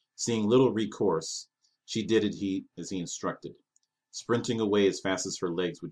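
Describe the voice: In plain reading aloud with ordinary pitch variation, the voice comes over a quiet background.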